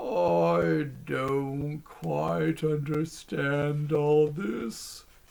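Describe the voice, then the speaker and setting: This is a put-on character voice at a low-to-middle pitch. The pace is very slow. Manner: puzzled.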